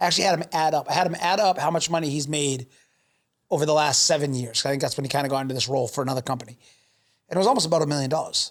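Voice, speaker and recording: On a very clean recording with a silent background, a man with a fairly high pitch and ordinary pitch variation talks at a very fast pace. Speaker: podcast host and business owner. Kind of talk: casual interview chat. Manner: loud and opinionated.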